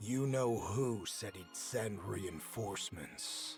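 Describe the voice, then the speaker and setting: A man growls in a put-on character voice, fairly low in pitch. He speaks very slowly while music plays clearly in the background. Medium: game stream. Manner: calm, terse.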